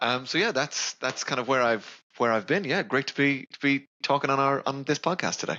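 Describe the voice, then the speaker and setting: A man with a fairly high pitch speaks in an Irish accent. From west of Ireland (Ballinasloe). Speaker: sales account manager. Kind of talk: podcast interview.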